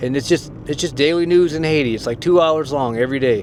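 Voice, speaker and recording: A man with an American accent speaks at a very fast pace. Noticeable background noise runs under his ordinary pitch variation. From United States. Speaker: YouTuber / language learner. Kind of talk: casual vlog monologue. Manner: casual, hesitant.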